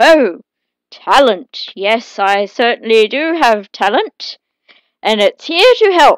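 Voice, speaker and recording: Putting on a character voice, a woman speaks high and at a fairly slow pace. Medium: read story.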